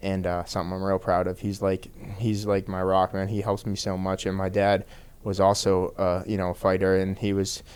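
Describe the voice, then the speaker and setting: A man with a strong Boston accent talks at a moderate pace in a very deep, low pitch. His intonation stays monotone and flat. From Boston area, Massachusetts (Peabody). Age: 30s. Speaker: professional MMA fighter. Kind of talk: podcast interview. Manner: casual, lots of fillers.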